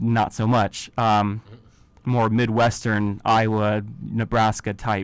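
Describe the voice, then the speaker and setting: A man's very slow, monotone, flat delivery with an American accent. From Virginia, Charlottesville. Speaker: college radio host. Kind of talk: radio news discussion.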